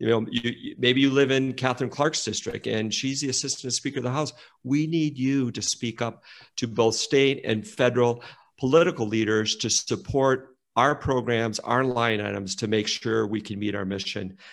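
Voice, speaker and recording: Against a silent background in a very clean recording, a man with an American accent and a normal speaking voice talks at a moderate pace and medium pitch with ordinary pitch variation. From rural Minnesota. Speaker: nonprofit executive. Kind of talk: interview conversation.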